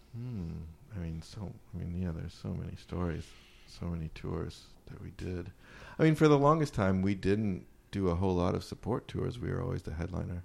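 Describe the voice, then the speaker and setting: A man with an American accent speaks in a very deep, low pitch at a fairly quick pace. His intonation is lively, and his loudness swings widely. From Wisconsin. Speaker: indie rock band member. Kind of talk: casual chat. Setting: apartment in Brooklyn.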